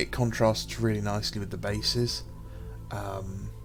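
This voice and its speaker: Speaking at a fairly slow pace with a British accent, a man is heard over music in the background with audible room echo. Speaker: miniature wargaming YouTuber. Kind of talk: casual commentary video. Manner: hesitant, many filler sounds.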